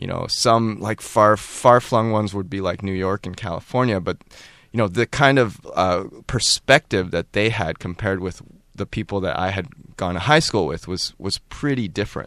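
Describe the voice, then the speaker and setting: With an American accent, a man uses a normal speaking voice, fairly low in pitch with ordinary pitch variation, at a moderate pace. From Maryland, US. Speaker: animation creator. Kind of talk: casual interview.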